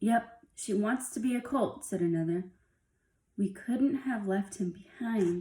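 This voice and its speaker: A woman's growling, put-on character voice, fairly high in pitch and fairly slow in pace. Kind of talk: storytelling character voices. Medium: read story. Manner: gruff, rough-spoken.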